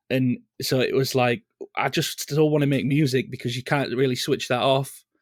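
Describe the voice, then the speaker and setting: A man's medium-pitched voice with a Leeds accent, fairly even intonation and very even loudness. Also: moderate pace, very clean recording, silent background. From northern England, Leeds. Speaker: singer in a band. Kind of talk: casual interview chat.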